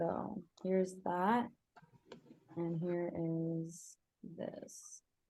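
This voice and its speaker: A woman with a fairly low, dark, mellow voice speaks very slowly with fairly even intonation and long, frequent pauses. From Israel. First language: Hebrew. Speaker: Hebrew teacher. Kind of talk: online class wrap-up.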